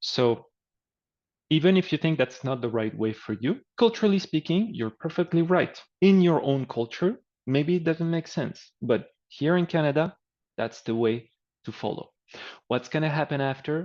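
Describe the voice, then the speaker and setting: With a French accent, a man talks in a fairly high pitch and with lively intonation. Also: moderate pace, quiet background. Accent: French accent, reduced. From France. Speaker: career coach. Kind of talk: webinar presentation. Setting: online webinar, screen sharing. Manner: casual, conversational.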